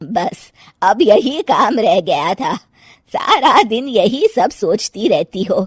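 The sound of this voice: Putting on a cartoonish character voice, a woman speaks slowly at medium pitch with big pitch swings and a slightly husky edge, the sound dry and close with no echo.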